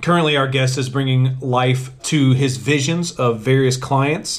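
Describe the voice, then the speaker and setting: A man's voice at medium pitch. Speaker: podcast host. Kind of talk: reading aloud; casual chat. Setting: sitting on a bench. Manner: starts big and robust, fades to normal.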